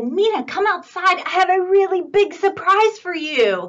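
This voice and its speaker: Loud and extremely high-pitched, a woman performs in a put-on character voice. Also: moderate pace. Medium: read story. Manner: jovial, loud.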